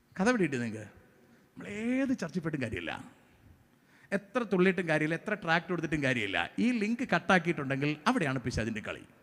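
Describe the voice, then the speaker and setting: High-pitched male voice, swinging very widely up and down in pitch. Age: 40s. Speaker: pastor. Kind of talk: sermon.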